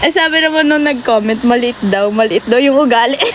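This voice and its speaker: Over noticeable background noise, a woman talks fairly quickly in a high voice with ordinary pitch variation. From Japan (Filipino). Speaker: TikTok live streamer. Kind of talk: casual chat. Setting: live stream.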